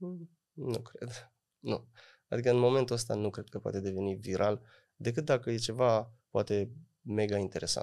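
Dark, mellow tone with ordinary pitch variation. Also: man, moderate pace, quiet background. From Romania, Oradea (Bihor), parents from Moldova; Romania. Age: 30s. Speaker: folk singer and music producer; podcast guest. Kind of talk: interview. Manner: hesitant, many fillers. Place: studio. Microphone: studio mic.

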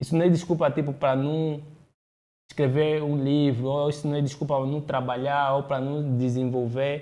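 This man's fairly high voice stays monotone, with flat intonation throughout. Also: moderate pace. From Angola, partly raised in Brazil. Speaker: public speaker; podcast host. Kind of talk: interview conversation. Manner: halting, frequent repetitions. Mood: earnest, opinionated. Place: studio. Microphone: studio mic.

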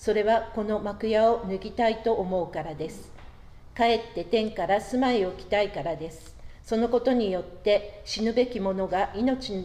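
A woman talks at a moderate pace, her loudness rising and falling in big swings. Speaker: worship leader. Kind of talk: prayer. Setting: church. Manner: formal. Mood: calm, reverent.

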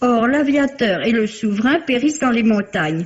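Her voice fairly high, a woman speaks at a fairly slow pace with lively intonation. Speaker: book critic. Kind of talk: radio book review, read aloud. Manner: formal, measured, polished. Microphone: old recording.

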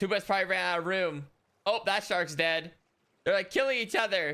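Against a quiet background, a man speaks in a raised, projected voice with lively intonation. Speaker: game streamer. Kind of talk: gameplay commentary. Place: home room. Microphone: headset.

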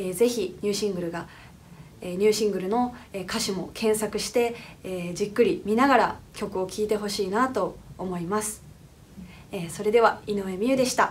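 A woman at a moderate pace, medium in pitch with ordinary pitch variation, over light background noise. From Japan, Fukuoka; Japan. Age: 20s. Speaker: singer. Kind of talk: recorded congratulatory comment. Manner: hesitant, many fillers.

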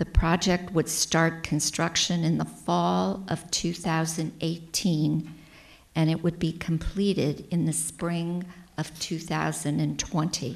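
Very slow and monotone, with flat intonation, the voice has an American accent and vocal fry. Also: woman, fairly low pitch for a woman. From US Midwest. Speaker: council presenter. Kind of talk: formal presentation at council meeting. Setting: council chamber. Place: meeting room. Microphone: podium.

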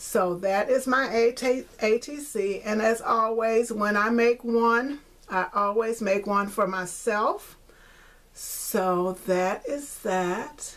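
At a slow pace, a woman speaks with a fairly high pitch, a fairly bright tone and ordinary pitch variation.

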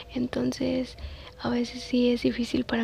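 A soft-spoken woman talks at a fairly slow pace, the sound dry with no echo and light background noise behind her. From Mexico. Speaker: ASMR content creator and mother. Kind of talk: casual talk to camera. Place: home room. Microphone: phone near.

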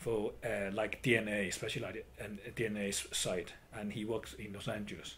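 There is audible room echo. A man speaks with a Chinese accent. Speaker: traditional Chinese medicine practitioner and educator. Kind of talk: interview. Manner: halting.

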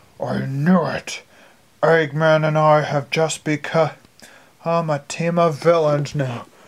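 A put-on character voice sits at a middle pitch and moves at a fairly slow pace. Long, frequent pauses break up the delivery. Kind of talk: amateur fan audio play. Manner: gloating, smug.

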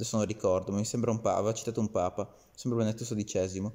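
A man's very fast, monotone delivery with flat intonation and a dark, mellow tone. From Italy. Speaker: video commentator. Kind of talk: angry rant, scornful political commentary aimed at Salvini. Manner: indignant, sarcastic, scolding, addressing Salvini directly. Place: home room. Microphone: phone near.

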